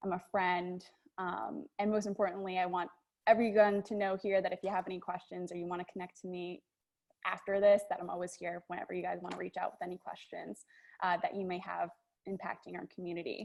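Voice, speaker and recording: Her American accent comes through as a woman talks fairly fast at a medium pitch with monotone, flat intonation. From New York (Long Island). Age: 20s. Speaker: TV news anchor. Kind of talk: presentation to a group.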